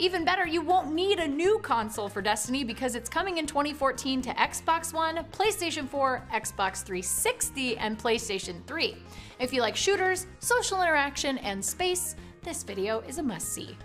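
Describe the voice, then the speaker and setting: Faint music plays behind a woman with a high pitch. She speaks at a moderate pace. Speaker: news show host. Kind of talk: news bulletin presenting. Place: office.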